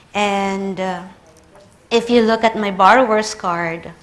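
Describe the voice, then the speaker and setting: In a Filipino accent, a woman speaks at a very slow pace amid audible room echo. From Philippines. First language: Tagalog. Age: 30s. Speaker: librarian. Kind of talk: conference talk.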